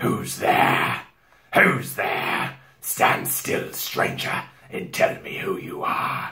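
A man does a put-on character voice at a very slow pace. It is raspy and growling. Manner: threatening.

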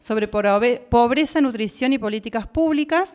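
A woman with a normal speaking voice at a moderate pace. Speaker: nutritionist, radio columnist. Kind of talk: educational radio segment. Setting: radio studio.

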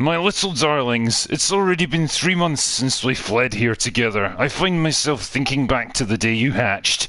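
A man does a put-on character voice at medium pitch and a moderate pace, with light background noise. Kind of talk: affectionate, doting. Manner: tender, proud.

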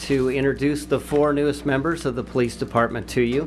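Light background noise sits beneath a man speaking at a moderate pace with fairly even intonation. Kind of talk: formal introduction speech. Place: hall. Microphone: podium.

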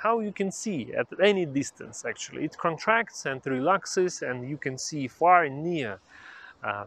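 A man talks at a fairly slow pace, and the sound is dry with no echo. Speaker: vision health educator. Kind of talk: educational explainer to camera. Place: garden. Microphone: lapel.

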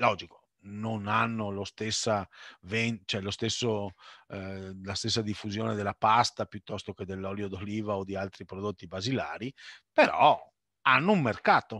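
A man's fairly low, bright and sharp voice at a moderate pace with fairly even intonation, dry with no echo against a quiet background. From Sicily (Messina), raised in Veneto; Veneto. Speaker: food importer and businessman; webinar panelist. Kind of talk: webinar Q&A.

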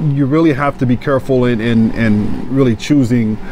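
Noticeable noise sits behind a man speaking. The sound is dry with no echo. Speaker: trainer. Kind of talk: interview answer. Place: gym.

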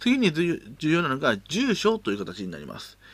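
The recording is very clean, and the background silent. A man talks at a fairly slow pace. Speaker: educational YouTuber teaching Excel. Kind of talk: tutorial. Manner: casual, many filler words.

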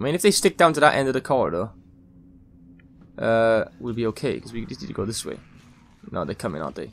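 Over music in the background, the speech moves at a very fast pace with very wide pitch swings, big swings in loudness, and long, frequent pauses. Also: man, medium pitch for a man. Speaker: gaming YouTuber. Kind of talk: let's play commentary. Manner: animated.

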